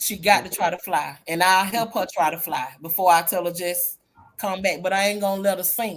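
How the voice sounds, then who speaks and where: With a plain, everyday voice, a woman speaks at a medium pitch and a moderate pace, her intonation fairly even. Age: 50s. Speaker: group chat panelist. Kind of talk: casual chat.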